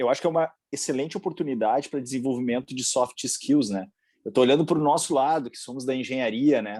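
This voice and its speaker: A man speaks very fast in a dark, mellow tone at medium pitch, with ordinary pitch variation. The background is quiet. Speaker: engineering panel moderator. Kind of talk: panel discussion.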